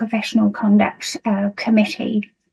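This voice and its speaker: A woman with a British accent speaks in a fairly high pitch with monotone, flat intonation. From United Kingdom. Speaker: nursing lecturer. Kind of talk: conference presentation. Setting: video call. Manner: hesitant, many fillers.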